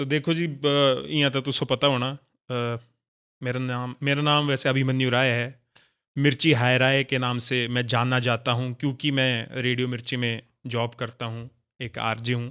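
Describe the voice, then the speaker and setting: In a Himachali accent, the voice has a bright, sharp tone and a monotone, flat intonation. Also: man, medium pitch for a man. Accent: Mandiyali tone in his Hindi. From Mandi, Himachal Pradesh, India. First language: Mandiyali (speaking Hindi). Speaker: radio host and content creator. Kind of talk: casual interview chat.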